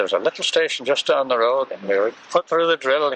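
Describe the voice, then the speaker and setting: Noticeable background noise sits behind a man whose sound is dry and close with no echo. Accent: English. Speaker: war veteran. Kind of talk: interview answer.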